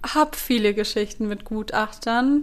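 Intonation fairly even, a woman speaks. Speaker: podcast host, former actress. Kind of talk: solo podcast monologue. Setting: home recording with a recorder.

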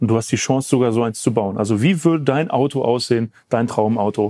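A man's medium-pitched voice with a dark, mellow tone and ordinary pitch variation, at a moderate pace, in a very clean recording with a silent background and a dry, close sound with no echo. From Germany, Essen. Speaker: car podcast host. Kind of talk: interview. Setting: company premises.

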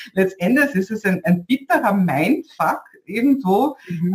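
A woman's somewhat breathy voice with a Viennese accent, fairly slow in pace, with very wide pitch swings. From Vienna, Austria. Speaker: podcast host, online business coach. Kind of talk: interview.

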